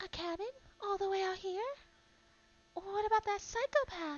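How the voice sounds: A put-on character voice, soft-spoken and extremely high-pitched, at a moderate pace.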